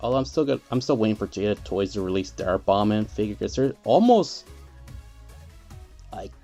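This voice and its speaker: A man's fairly low voice at a fairly quick pace, broken by long, frequent pauses, with music in the background. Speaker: toy collector. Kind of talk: casual talk to camera. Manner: soft.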